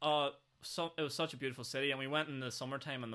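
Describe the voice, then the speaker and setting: A man with a Northern Irish accent, a bright, sharp tone and fairly even intonation. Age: 20s. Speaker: podcast host. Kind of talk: casual chat.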